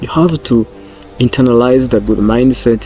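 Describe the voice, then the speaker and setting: A man talks at a medium pitch and a fairly slow pace, with fairly even intonation and a non-native accent. Background noise is noticeable. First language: not English. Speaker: self-help vlogger. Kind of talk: motivational talk. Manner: repetitive, halting.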